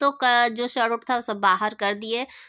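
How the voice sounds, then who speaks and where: The woman's voice is high-pitched, with a bright, sharp tone. The recording is very clean, with a silent background. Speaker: family vlogger. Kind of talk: casual vlog narration.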